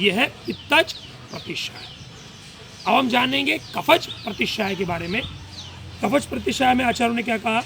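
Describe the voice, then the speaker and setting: There is noticeable background noise as a man speaks at a high pitch. His pitch swings very widely, with long, frequent pauses. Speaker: ayurvedic doctor. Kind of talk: health talk / lecture. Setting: live session.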